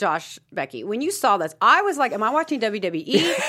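A woman with vocal fry talks at a moderate pace, her pitch swinging very widely. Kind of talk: casual panel chat. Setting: studio.

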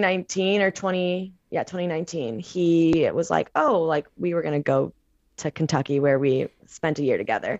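This woman has a plain, everyday voice with an American accent. Her pitch is fairly low, her intonation lively and her pace moderate. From Missouri, St. Louis. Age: 20s. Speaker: personal trainer and meditation coach. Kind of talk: casual chat.

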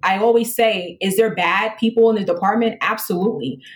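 A somewhat breathy female voice at a fairly quick pace. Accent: American. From New York City, the Bronx. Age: 30s. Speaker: police lieutenant, recruiter. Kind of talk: casual interview.

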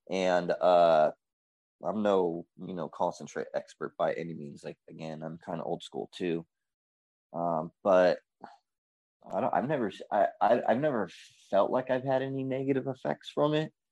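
A man speaks at a moderate pace, with long, frequent pauses. The sound is dry and close with no echo, over a quiet background. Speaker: organic grower. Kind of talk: casual panel chat.

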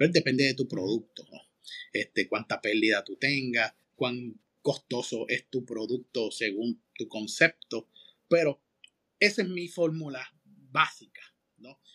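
Bright and sharp, a man's medium-pitched voice runs at a fairly slow pace with long, frequent pauses, lively intonation and big swings in loudness, recorded dry and close with no echo. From Puerto Rico, Manatí. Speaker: restaurant consultor and podcast host. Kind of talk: casual interview. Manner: halting, many fillers.

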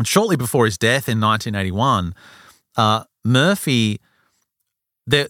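In a very clean recording with a silent background and a dry, close sound with no echo, a man with a normal speaking voice talks at a moderate pace and medium pitch with lively intonation. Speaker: podcast host. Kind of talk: casual chat.

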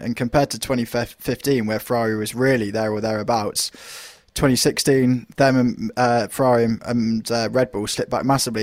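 Very fast speech in a British accent comes out with monotone, flat intonation. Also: man. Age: 20s. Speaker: motorsport journalist. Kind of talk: casual chat.

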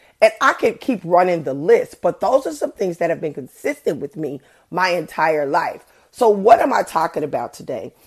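A woman speaks loudly at a moderate pace with a fairly low pitch. Her tone is animated, with very wide pitch swings. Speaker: podcast host. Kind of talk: casual chat.

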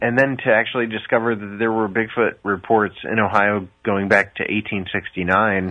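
Speaking at a moderate pace, a man with a Midwestern American accent has a fairly low pitch. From US Midwest. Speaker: documentary filmmaker. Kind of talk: interview. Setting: video call.

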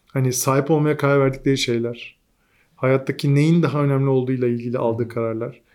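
A medium-pitched male voice at a fairly quick pace. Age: 40s. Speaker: digital agency founder. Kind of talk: casual interview. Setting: studio at a venue. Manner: animated, laughs often.

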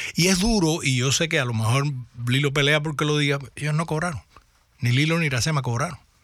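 This man's voice sits at a fairly high pitch, with a bright, sharp tone and ordinary pitch variation. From Cuba. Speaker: actor. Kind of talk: radio interview. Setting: radio studio.

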